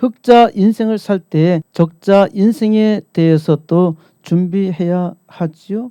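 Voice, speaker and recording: A man's high-pitched voice with a dark, mellow tone, ordinary pitch variation and a very slow pace, in a dry, close sound with no echo. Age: 60s. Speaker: pastor. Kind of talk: sermon.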